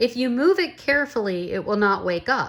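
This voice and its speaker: A woman's put-on character voice, high-pitched with very wide pitch swings, at a moderate pace on a very clean recording with a silent background. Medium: read story. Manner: soft-spoken.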